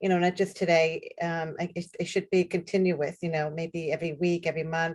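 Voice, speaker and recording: A woman with a New York accent speaks at a moderate pace. Her fairly low voice stays monotone and flat. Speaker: person with lived homelessness experience. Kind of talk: panel discussion on video call. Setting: online call. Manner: halting.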